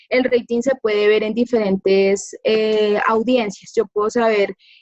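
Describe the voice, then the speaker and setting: A woman talks at a moderate pace with fairly even intonation, the sound dry and close with no echo. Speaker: media professional. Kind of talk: informal talk to a class. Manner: soft-spoken.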